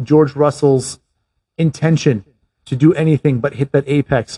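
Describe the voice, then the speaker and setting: Fairly high in pitch, a man's somewhat breathy voice carries a dark, mellow tone at a fairly slow pace. The intonation is fairly even, and the sound is dry and close with no echo. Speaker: podcast host. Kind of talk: race commentary, play-by-play retelling of a past race as a picture for listeners. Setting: Canada. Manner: vivid, scene-painting.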